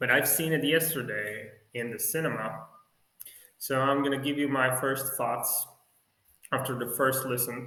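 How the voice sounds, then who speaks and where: In a room with audible echo, a man of medium pitch speaks at a moderate pace with fairly even intonation and long, frequent pauses. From Poland. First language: Polish. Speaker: music fan vlogger. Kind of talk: casual video review. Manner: halting, with many fillers.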